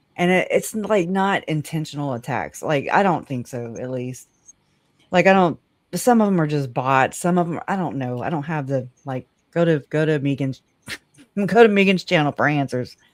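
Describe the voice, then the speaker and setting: A woman with a very deep, low pitch speaks at a moderate pace in a Southern US accent. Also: lively intonation. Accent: rural Southern US. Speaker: live stream guest. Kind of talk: casual chat.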